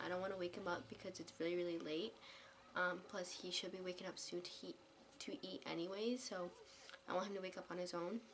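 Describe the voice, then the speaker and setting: Doing a put-on character voice, a woman speaks quietly and very fast in a raspy, medium-pitched voice over light background noise. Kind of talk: soft-spoken. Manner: quiet, hushed.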